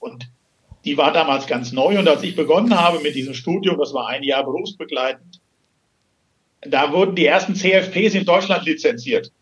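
Speaking at a moderate pace, a man with a high pitch shows ordinary pitch variation. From Hesse, Germany. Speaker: financial and succession planner. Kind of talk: interview. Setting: phone call.

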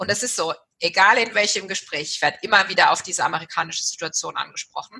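A woman at a medium pitch talks very fast with ordinary pitch variation. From Germany, Walldorf (Baden-Württemberg). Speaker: management consultant, business owner. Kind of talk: interview conversation.

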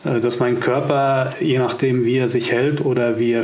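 A man talks at a very slow pace, with noticeable background noise and audible room echo. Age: 40s. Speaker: communication coach. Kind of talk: casual chat.

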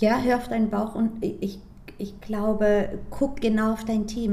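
Somewhat breathy, dark, mellow delivery with a Greek accent, at a moderate pace in monotone, flat intonation. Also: woman. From Frankfurt am Main, Germany. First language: Greek (speaking German). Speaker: sales trainer and former startup founder. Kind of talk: interview.

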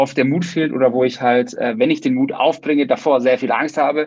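His pitch is fairly high, with ordinary pitch variation. The man uses a normal speaking voice. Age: 30s. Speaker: podcast host. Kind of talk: casual interview.

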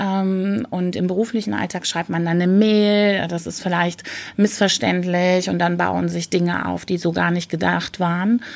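A woman's fairly low voice, fairly even in intonation, at a fairly slow pace. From Rhineland, western Germany. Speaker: corporate change facilitator. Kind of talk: interview. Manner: hesitant fillers.

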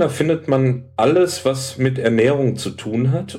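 At a very slow pace, a man speaks at a medium pitch, with audible room echo. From Hamburg, northern Germany. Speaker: health food shop salesman. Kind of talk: casual chat.

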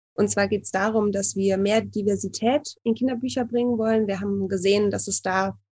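A woman's somewhat breathy, dark and mellow voice at medium pitch, with fairly even intonation and a moderate pace, on a very clean recording with a silent background. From Cologne, Germany. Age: 30s. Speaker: student, illustrator and publisher founder. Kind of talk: casual interview.

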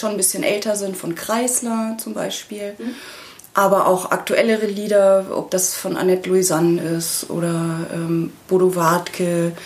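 A woman's medium-pitched voice at a fairly slow pace amid noticeable background noise. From Bavaria, small town. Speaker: singer-songwriter. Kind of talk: casual interview.

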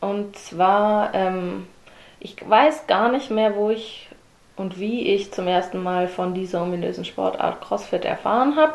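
With noticeable background noise behind her, a woman speaks very slowly at a medium pitch with ordinary pitch variation. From Germany, Swabia (Herrenberg). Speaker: CrossFit athlete. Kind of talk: interview.

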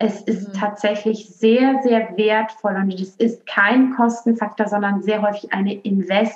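Monotone, flat intonation with a slight Rhineland accent. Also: woman. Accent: slight western German (Rhineland). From western Germany, Aachen. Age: young. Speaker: marketing consultant. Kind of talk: podcast interview.

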